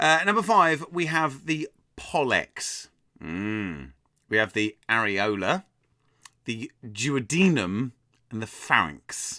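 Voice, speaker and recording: Speaking at a medium pitch, a man uses a bright, sharp tone with very wide pitch swings. His pace is very slow, with long, frequent pauses, on a very clean recording with a silent background. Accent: English. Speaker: quiz host. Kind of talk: live-streamed pub quiz hosting, reading chat. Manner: animated, casual.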